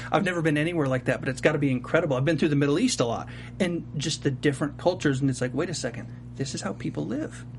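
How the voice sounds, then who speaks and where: Speaking very fast with ordinary pitch variation, a man with a fairly high voice and an American accent comes through over noticeable background noise. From US South, Charlotte. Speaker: TV aftershow host. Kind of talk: casual interview chat. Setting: studio.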